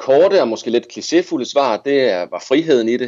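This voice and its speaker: A man talks at a moderate pace with lively intonation. His is a plain, everyday voice. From Denmark, Viborg (Jutland). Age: 30s. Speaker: cycling adventurer and journalist. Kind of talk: casual interview.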